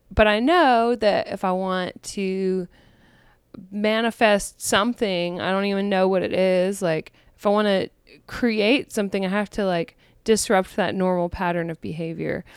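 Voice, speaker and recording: On a very clean recording with a silent background, a woman with an ordinary speaking voice talks at a moderate pace, with medium pitch and ordinary pitch variation. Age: 30s. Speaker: podcast host and comedian. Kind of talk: casual solo chat. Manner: relaxed, frequent laughter.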